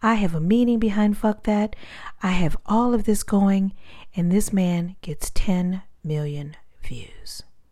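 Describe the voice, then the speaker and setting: A woman talks at a fairly slow pace in a medium pitch with ordinary pitch variation. Her tone is dark and mellow, and somewhat breathy. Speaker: motivational speaker. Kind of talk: personal story talk. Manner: calm.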